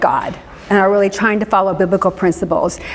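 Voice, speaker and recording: The speaker has an American accent, heard over noticeable background noise with audible room echo. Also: woman. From US Midwest, Indianapolis. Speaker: pastor and social worker. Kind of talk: church class talk. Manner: fast.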